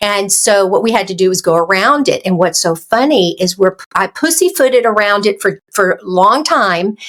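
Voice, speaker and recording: The speaker has an American accent and an animated tone, with lively intonation, very even loudness, a moderate pace and hardly any pauses. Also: woman, medium pitch for a woman. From South Texas. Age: 60s. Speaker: health coach. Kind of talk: podcast interview.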